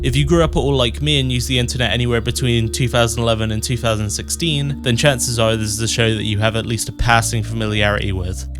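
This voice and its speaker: A man with a fairly low pitch talks at a very fast pace with hardly any pauses, his pitch swinging very widely. Music plays in the background. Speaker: video essayist. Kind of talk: video essay narration.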